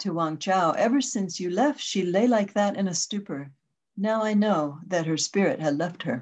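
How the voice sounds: The pitch moves in an ordinary way. It's a natural reading voice over a quiet background.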